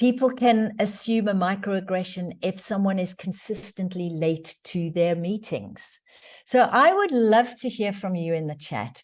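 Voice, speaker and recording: A woman in a South African accent, medium pitch and ordinary pitch variation, at a fairly slow pace against a quiet background. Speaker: diversity training facilitator. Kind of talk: webinar presentation. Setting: online webinar.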